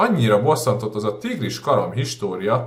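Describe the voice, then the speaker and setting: At a medium pitch, a man talks in a somewhat breathy voice. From Budapest, Hungary. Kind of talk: audiobook reading.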